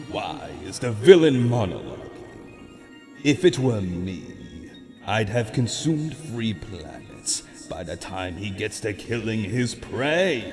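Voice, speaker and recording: A man uses a put-on character voice at a medium pitch. He speaks at a very slow pace over clear background music. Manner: disdainful.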